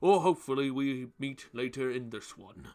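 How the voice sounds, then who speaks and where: A man talks fairly slowly at medium pitch, using a put-on character voice. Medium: actual play. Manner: hearty.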